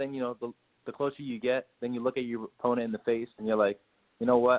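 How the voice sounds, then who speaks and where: With an American accent and a normal speaking voice, a man of medium pitch talks at a fairly quick pace. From US South, Miami. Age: 20s. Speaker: professional boxer. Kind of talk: casual interview chat.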